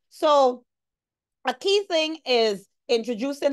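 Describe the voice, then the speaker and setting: This voice has a Guyanese accent and lively intonation. The background is quiet. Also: woman. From Guyana. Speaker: environmental law lecturer; presenter. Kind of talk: presentation. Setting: video call. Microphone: video call.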